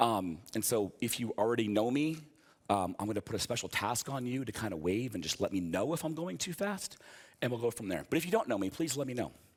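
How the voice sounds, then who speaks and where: Very fast and animated, a man at a medium pitch uses very wide pitch swings in a very clean recording with a silent background. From US East Coast. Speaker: software developer, conference speaker. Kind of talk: conference talk with live coding. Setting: stage with audience.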